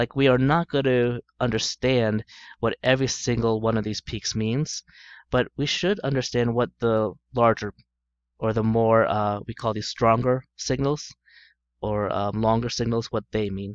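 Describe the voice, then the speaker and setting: Over a quiet background, a man with a normal speaking voice talks at a fairly slow pace with fairly even intonation, the sound dry and close with no echo. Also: medium pitch for a man. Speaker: chemistry teacher. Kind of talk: lecture.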